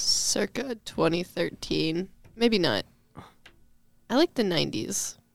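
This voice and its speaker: Speaking very slowly, a woman with a fairly low pitch uses very wide pitch swings and vocal fry, leaving long, frequent pauses. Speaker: podcast guest. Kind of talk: casual chat. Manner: casual, rambling.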